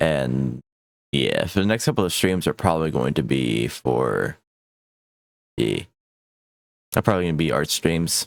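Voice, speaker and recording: A man speaks with a very deep, low pitch, vocal fry and lively intonation. He leaves long, frequent pauses, and the sound is dry and close with no echo. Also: moderate pace. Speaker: streamer. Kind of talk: casual chat. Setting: live stream.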